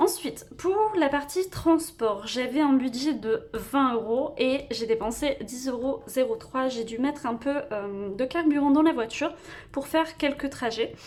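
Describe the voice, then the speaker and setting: Speaking at a fairly slow pace, the voice carries a lively, varied intonation. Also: woman, high pitch for a woman. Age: 20s. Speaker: budgeting vlogger. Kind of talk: personal finance vlog. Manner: hesitant, many fillers.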